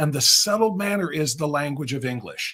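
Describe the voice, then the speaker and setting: A man speaks in an Ohio accent. His intonation is lively and his pace moderate. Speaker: conservative livestream host. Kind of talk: political commentary talk.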